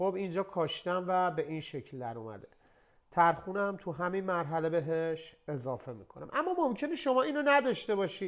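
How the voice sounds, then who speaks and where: A man's high voice in very wide pitch swings at a moderate pace. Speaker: chef. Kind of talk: cooking tutorial.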